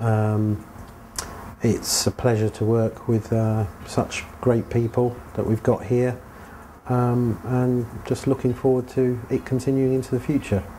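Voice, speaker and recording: Over noticeable background noise, a man with a London accent speaks at a fairly slow pace in a medium pitch, his intonation flat and monotone and his loudness very even. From England (London), Cypriot heritage. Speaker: Formula One team member. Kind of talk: interview. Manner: hesitant, filler-heavy.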